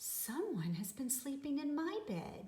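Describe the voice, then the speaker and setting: Putting on a character voice, a woman speaks at a high pitch, fairly slowly, with very wide pitch swings. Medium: read story.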